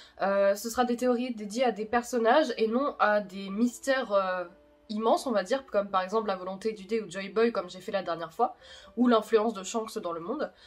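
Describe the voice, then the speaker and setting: Over music in the background, a woman talks fairly quickly in a fairly high pitch, with ordinary pitch variation and big swings in loudness. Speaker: YouTuber explaining manga theories. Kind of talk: video commentary on manga theories.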